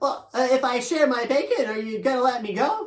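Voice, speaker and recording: The voice sounds female and is a put-on character voice. It runs at a fairly quick pace with a high pitch. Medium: read story.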